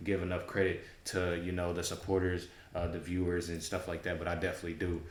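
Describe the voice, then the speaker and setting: A man speaks at a very fast pace with a very deep, low pitch. Audible room echo surrounds his voice. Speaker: YouTube reaction commentator. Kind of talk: casual chat. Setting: home studio. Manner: halting, many fillers.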